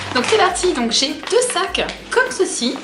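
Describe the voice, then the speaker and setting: A woman speaks in an enthusiastic tone, with noticeable background noise and audible room echo. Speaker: fashion haul vlogger. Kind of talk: product haul video. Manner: casual, many fillers.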